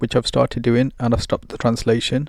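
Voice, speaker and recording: A man with a Bengali accent speaks in a flat monotone. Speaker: Islamic teacher and translator. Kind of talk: casual talk to camera. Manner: halting, with many ums.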